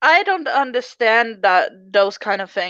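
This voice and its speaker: Against a quiet background, a woman with a non-native accent speaks in a fairly high, bright, sharp voice with lively intonation. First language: not English. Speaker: commentary youtuber. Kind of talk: casual chat.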